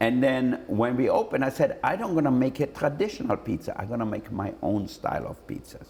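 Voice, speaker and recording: A man with an Austrian accent at a fairly quick pace, hardly pausing, amid noticeable background noise. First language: German. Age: 60s. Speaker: celebrity chef and restaurateur. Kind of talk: interview answer.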